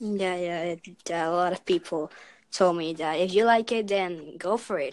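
Speaking in a normal speaking voice, a woman talks at a moderate pace with fairly even intonation and a fairly low pitch, captured on a very clean recording against a silent background. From Canada, Vancouver. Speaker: podcast guest. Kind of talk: casual chat.

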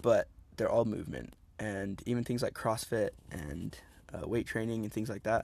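Medium pitch, a moderate pace, and an ordinary speaking voice from a man. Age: 20s. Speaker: podcast co-host, parkour athlete. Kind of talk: casual chat. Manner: casual, laughing.

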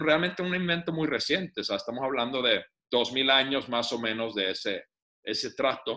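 The voice has a bright, sharp tone and lively intonation at a fairly slow pace. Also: man. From Finland. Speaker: business developer and author. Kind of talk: casual interview.

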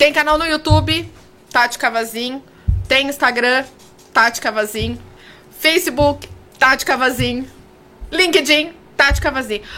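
A woman's raised, projected voice at a high pitch, with ordinary pitch variation and a fairly slow pace. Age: 40s. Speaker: communicator and confidence mentor. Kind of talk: casual interview chat. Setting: radio studio.

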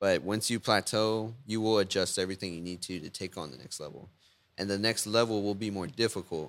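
Speaking in a Texan accent at a fairly quick pace, the voice shows big swings in loudness. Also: man, fairly low pitch for a man, ordinary pitch variation, very clean recording, silent background. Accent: Texan American. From Victoria, Texas. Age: 20s. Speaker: web designer and entrepreneur. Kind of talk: casual chat.

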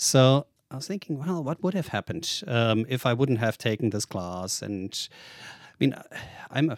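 A man in a German accent speaks with lively intonation, the sound dry and close with no echo in a very clean recording with a silent background. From Germany. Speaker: tech investor and author. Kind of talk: interview.

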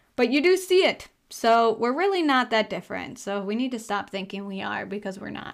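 A woman with a Wisconsin accent and fairly high pitch, animated in tone, with very wide pitch swings, a fairly quick pace, hardly any pauses, and a very clean recording with a silent background. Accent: Upper Midwest (Wisconsin). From Wisconsin, small town. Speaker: podcast host. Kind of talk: casual monologue. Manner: animated, laughs often.

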